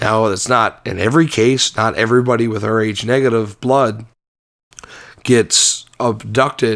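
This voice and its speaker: Fairly even intonation from a man with a plain, everyday voice, medium pitch, at a fairly slow pace. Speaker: podcast co-host. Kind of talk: casual podcast conversation.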